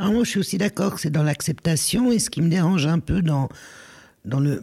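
A woman with a very deep, low voice speaks with lively intonation and a somewhat breathy sound. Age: 60s. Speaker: former social worker and risk manager. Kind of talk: casual chat.

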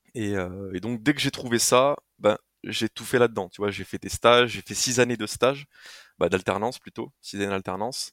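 A man talks at a medium pitch and a moderate pace, with ordinary pitch variation and big swings in loudness. The recording is very clean with a silent background, and the sound is dry and close with no echo. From France, Haute-Marne (rural north-east). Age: 20s. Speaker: adventurer and content creator. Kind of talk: casual interview conversation. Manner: hesitant, many fillers.

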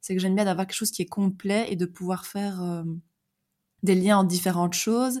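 A woman with a dark, mellow tone and fairly even intonation leaves long, frequent pauses, on a very clean recording with a silent background. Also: medium pitch for a woman. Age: 30s. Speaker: life coach. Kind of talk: interview conversation. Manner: hesitant, many fillers.

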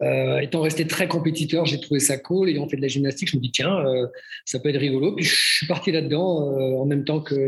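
Through noticeable background noise, a man with a fairly high pitch talks at a fairly quick pace with fairly even intonation. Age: 50s. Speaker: fitness school director. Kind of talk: casual interview.

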